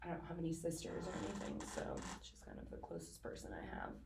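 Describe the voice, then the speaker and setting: Audible room echo surrounds a woman as she speaks. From Russia, moved to US at about 14. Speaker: client. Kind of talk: role-play counseling intake interview. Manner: hesitant, many fillers.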